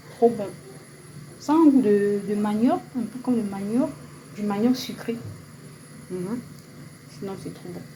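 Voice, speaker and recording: Over noticeable background noise and audible room echo, a woman with a fairly high pitch uses lively intonation, big swings in loudness, and long, frequent pauses. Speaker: vlogger. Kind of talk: casual vlog. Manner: hesitant; soft-spoken.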